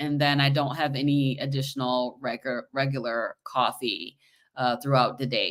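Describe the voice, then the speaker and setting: In a very clean recording with a silent background, a woman with a very deep, low voice speaks at a moderate pace with fairly even intonation. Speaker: podcast host. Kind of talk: casual conversation.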